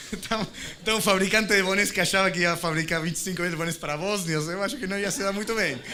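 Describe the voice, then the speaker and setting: A man with an Argentine accent, plus audible room echo and noticeable background noise. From Argentina. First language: Spanish (speaking Portuguese). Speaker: tech company executive. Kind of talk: conference panel discussion. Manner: halting, many restarts.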